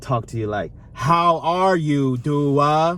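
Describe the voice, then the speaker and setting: A man speaks at a fairly high pitch. He has a plain, everyday voice. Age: 30s. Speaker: YouTube vlogger, co-host with partner. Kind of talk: casual Q&A chat.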